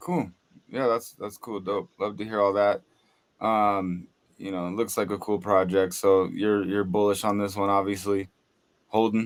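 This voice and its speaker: Very clean, with a silent background, the recording has a man speaking at a moderate pace in a fairly low, monotone, flat voice. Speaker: podcast co-host. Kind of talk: casual chat.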